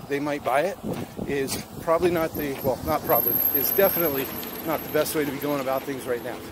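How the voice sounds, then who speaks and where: Fairly quick male speech, noticeable noise behind it, the sound dry and echo-free. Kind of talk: casual vlog chat. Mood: earnest, encouraging. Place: street. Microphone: phone near.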